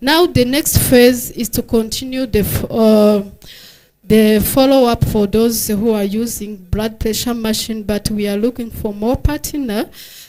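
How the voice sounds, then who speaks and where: Fairly slow speech in a Rwandan accent with ordinary pitch variation, against noticeable background noise. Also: woman, fairly high pitch for a woman. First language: Kinyarwanda. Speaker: health researcher. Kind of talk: conference presentation. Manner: halting, many fillers.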